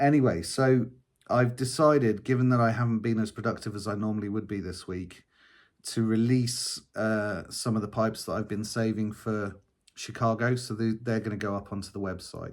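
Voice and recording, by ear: Here a man speaks at a moderate pace. His pitch is fairly low and his intonation fairly even.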